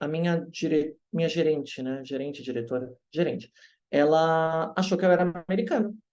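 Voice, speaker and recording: A man speaks in a normal speaking voice, fairly high in pitch. His pitch varies in an ordinary way at a moderate pace. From Brazil. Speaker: English teacher. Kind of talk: interview.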